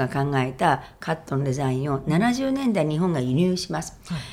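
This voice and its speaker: Her pitch very deep and low, a woman speaks at a moderate pace with a dark, mellow tone and lively intonation. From Japan, Gifu Prefecture. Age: 60s. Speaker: hairdresser and salon owner. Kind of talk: interview.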